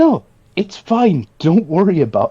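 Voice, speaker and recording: A put-on character voice from a man, high-pitched and fairly slow. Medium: actual play.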